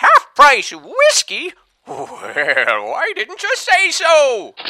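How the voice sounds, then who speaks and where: Extremely high pitch at a very slow pace. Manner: scornful, blustering.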